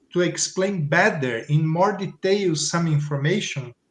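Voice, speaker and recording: A man's high-pitched voice with a Portuguese accent and ordinary pitch variation. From Brazil. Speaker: teacher. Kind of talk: panel discussion. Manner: halting.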